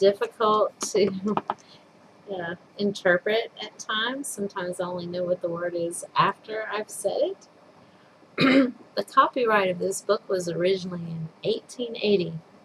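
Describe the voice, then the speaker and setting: A woman's medium-pitched voice at a moderate pace, with ordinary pitch variation, over noticeable background noise. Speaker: storyteller. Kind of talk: casual introduction to a reading.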